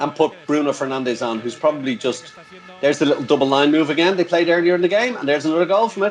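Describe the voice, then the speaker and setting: A man with an Irish accent talks very fast in an animated tone at a fairly high pitch. Noticeable background noise is present. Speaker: handball commentator. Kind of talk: casual chat.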